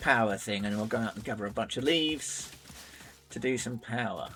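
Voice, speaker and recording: Very fast speech over noticeable background noise. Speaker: video game streamer. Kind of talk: live gameplay commentary. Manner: casual, with frequent fillers.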